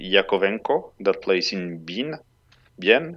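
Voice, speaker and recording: Very slow speech from a man with a French accent and a fairly low voice. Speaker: data analyst, hockey stats site creator. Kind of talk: casual chat.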